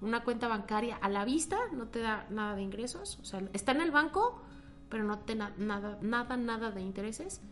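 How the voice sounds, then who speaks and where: With audible room echo and noticeable background noise, a woman speaks at a moderate pace and a fairly high pitch, using ordinary pitch variation. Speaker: economist and finance lecturer. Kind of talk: interview.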